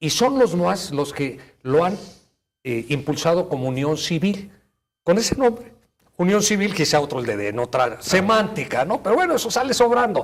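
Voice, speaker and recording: Speaking at a moderate pace, a man uses a high voice with very wide pitch swings. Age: 60s. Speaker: family law attorney. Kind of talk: TV interview. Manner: halting, with fillers.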